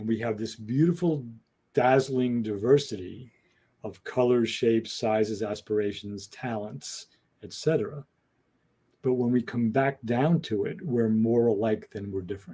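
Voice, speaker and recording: Here a man speaks in a plain, everyday voice at a medium pitch with ordinary pitch variation. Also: moderate pace. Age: 60s. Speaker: podcast co-host. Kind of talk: casual discussion. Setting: podcast.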